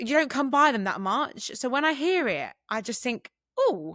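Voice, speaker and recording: A woman with vocal fry speaks in a bright, sharp tone, her pitch swinging very widely. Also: very clean recording, silent background. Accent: American. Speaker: podcast co-host. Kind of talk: casual chat.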